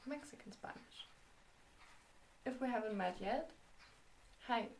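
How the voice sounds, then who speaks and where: With audible room echo, a woman speaks at a moderate pace in a German accent, using ordinary pitch variation. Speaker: YouTuber. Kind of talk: vlog.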